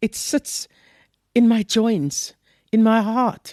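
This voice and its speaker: A woman with a South African accent, fairly high-pitched, at a very slow pace against a quiet background. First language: Afrikaans. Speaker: author and poet. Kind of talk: interview. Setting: hotel room.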